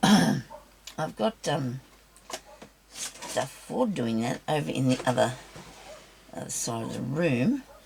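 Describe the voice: A woman's raspy, croaky voice with a husky, rough edge and vocal fry, extremely low in pitch, slow in pace with long, frequent pauses, yet lively in intonation. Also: slightly mellow tone.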